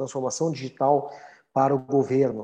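Dark and mellow in tone, a man's medium-pitched voice moves at a moderate pace. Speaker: electrical engineer and innovation executive. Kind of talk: online panel talk. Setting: video call.

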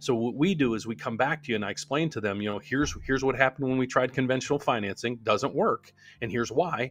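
An American accent at a very fast pace, with ordinary pitch variation. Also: man, medium pitch for a man. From US Appalachia, West Virginia northern panhandle near Wheeling. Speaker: loan officer team leader, mortgage YouTuber. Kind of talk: casual live-stream Q&A.

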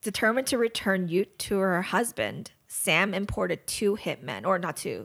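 Speaking at a fairly slow pace, a woman with an American accent uses medium pitch, lively intonation and vocal fry. The recording is very clean, with a silent background. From Los Angeles, US. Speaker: true crime podcast co-host. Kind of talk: casual chat, partly reading a story.

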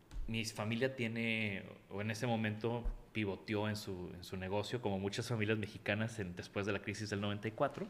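In a flat, monotone intonation, a man with a fairly low voice keeps a moderate pace. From Mexico, Tampico. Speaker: industrial designer. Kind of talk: interview.

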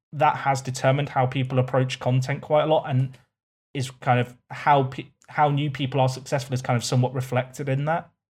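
The recording is very clean, with a silent background. A somewhat breathy man talks in a flat monotone. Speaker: streamer and YouTuber. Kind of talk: casual chat.

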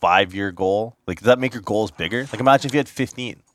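On a very clean recording with a silent background, a man uses a normal speaking voice at a fairly quick pace with ordinary pitch variation, the sound dry and close with no echo. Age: 20s. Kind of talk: casual chat.

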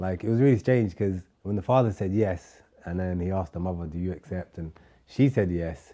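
In a London accent, a man talks at a moderate pace with a very deep, low pitch and a dark, mellow tone. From London, UK (born in Somalia). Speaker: chef. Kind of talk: casual interview.

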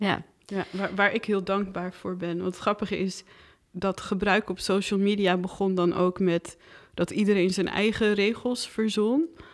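Medium in pitch, the woman has an ordinary speaking voice with fairly even intonation and a fairly slow pace. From Netherlands. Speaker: filmmaker. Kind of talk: casual chat.

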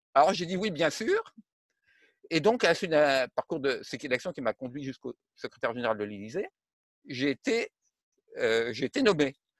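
The speaker goes at a moderate pace, pausing long and often, with very wide pitch swings. The sound is dry and close, without echo. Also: man, fairly high pitch for a man. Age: 70s. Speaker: retired defence engineer and civil servant. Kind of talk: interview. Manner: halting.

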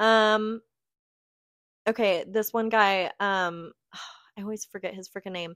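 The speech comes at a fairly slow pace with long, frequent pauses and monotone, flat intonation. Loudness swings widely in a very clean recording with a silent background. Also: woman, medium pitch for a woman, dry, close sound with no echo. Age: 20s. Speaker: podcast co-host. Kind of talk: casual chat.

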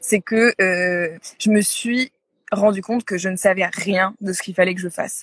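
The sound is dry and close with no echo. A woman speaks in a somewhat breathy voice. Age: 30s. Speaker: yoga retreat agency founder. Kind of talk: interview. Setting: Instagram live. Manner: halting, many fillers and repetitions.

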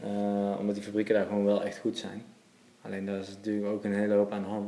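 A man's fairly low, dark, mellow voice at a very fast pace. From Netherlands, Waalwijk, Brabant. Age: 30s. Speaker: menswear shop owner. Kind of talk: casual interview. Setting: in a shop.

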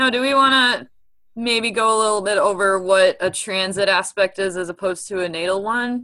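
A bright, sharp-toned woman at medium pitch with a Midwestern US accent and a fairly quick pace. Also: ordinary pitch variation. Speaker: astrologer and podcast host. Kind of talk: casual podcast conversation. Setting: remote, on a call from Milwaukee.

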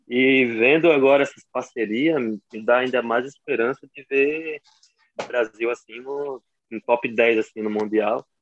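The sound is dry and close with no echo. A man talks fairly slowly at a medium pitch with fairly even intonation. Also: long, frequent pauses. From João Pessoa, Brazil. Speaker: american football linebacker. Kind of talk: casual interview.

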